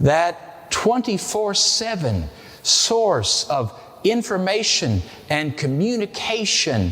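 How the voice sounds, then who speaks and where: The man speaks in an American accent with very wide pitch swings. Noticeable background noise is audible. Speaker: pastor. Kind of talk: sermon.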